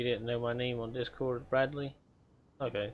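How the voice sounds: The man's pitch is medium and barely moves. He keeps a moderate pace.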